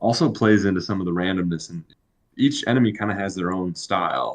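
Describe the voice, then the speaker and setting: Here is a man with a plain, everyday voice. He speaks fairly low in pitch at a fairly quick pace. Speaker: podcast co-host and game developer. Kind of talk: casual live-stream chat explaining gameplay. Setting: live stream.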